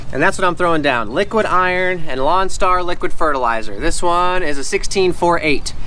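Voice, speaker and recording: A man with a high pitch and ordinary pitch variation speaks at a fairly quick pace with hardly any pauses. His loudness stays very even, and there is audible room echo. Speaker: lawn care YouTuber. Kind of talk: casual tutorial vlog. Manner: fast.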